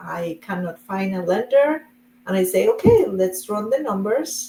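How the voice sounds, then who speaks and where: Speaking at a fairly slow pace, a woman with a Spanish accent uses a medium pitch. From Colombia. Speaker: real estate investor. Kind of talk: interview.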